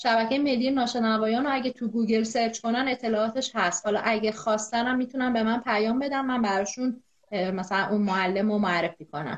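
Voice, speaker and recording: Fairly quick, fairly high-pitched speech from a woman, with hardly any pauses, very even loudness, ordinary pitch variation and noticeable background noise. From Iran, Zanjan. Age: 20s. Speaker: epidemiologist and deaf-community activist. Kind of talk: interview. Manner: energetic.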